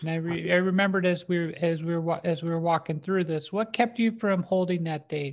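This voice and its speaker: A woman speaks quite quickly in a normal speaking voice, with hardly any pauses. Her pitch is fairly low and her intonation fairly even. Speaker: podcast co-host comedian. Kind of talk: casual chat.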